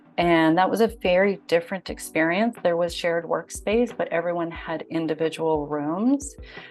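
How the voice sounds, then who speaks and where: Over music in the background, a woman speaks at a moderate pace. Her pitch sits fairly low. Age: 50s. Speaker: digital nomad, former financial services worker. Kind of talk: interview answer.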